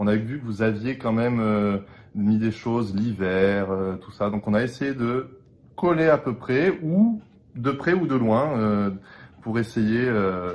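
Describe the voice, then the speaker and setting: Very slowly, a man speaks, his pitch varying in an ordinary way. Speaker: opera singer (bass). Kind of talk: casual video introduction. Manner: hesitant, many fillers.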